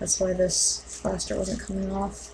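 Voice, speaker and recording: A woman speaks at a fairly slow pace against noticeable background noise. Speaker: mask-making hobbyist vlogger. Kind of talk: tutorial. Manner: quiet; hesitant, many fillers.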